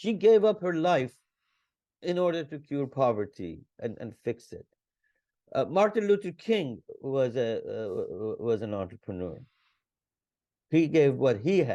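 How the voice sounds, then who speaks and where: Dark, mellow tone with very wide pitch swings, a fairly slow pace and long, frequent pauses. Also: man, fairly high pitch for a man. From Iran. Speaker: entrepreneur and business consultant. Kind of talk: podcast interview. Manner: halting, many repetitions.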